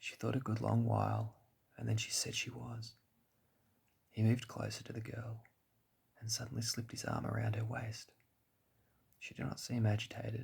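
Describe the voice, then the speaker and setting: Soft-spoken and with an Australian accent, the speaker leaves long, frequent pauses. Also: moderate pace. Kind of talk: sleep story.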